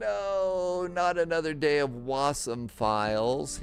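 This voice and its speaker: This is a put-on character voice, whiny in tone. It is very whiny and delivered at a very slow pace. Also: man, fairly high pitch for a man. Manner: whiny, complaining.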